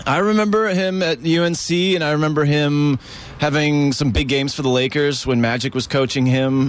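Noticeable background noise sits behind a man speaking with an American accent. He talks at a fairly quick pace. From Maryland. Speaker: rock musician. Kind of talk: casual interview.

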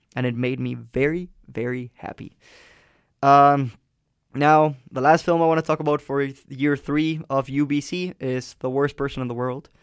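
In a very clean recording with a silent background, a man with a Spanish accent and a fairly high pitch speaks at a moderate pace with fairly even intonation. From Colombia. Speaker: campus radio host. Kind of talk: casual chat. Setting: radio studio.

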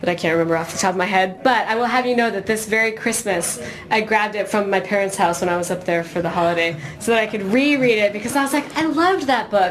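A woman with an American accent talks at a very fast pace in a medium-pitched voice. Her intonation is lively, with noticeable background noise behind her. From California, US. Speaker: musician. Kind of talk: casual chat. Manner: animated.

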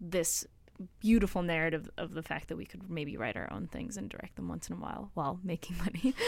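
A woman's fairly low-pitched voice with vocal fry and ordinary pitch variation. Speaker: film production student. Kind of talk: casual chat. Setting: studio.

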